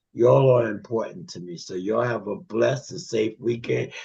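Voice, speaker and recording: A man's medium-pitched voice sounds somewhat breathy, with a dark, mellow tone. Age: 70s. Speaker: regular participant of a men's fellowship group. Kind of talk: closing remarks in a group video call. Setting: video call.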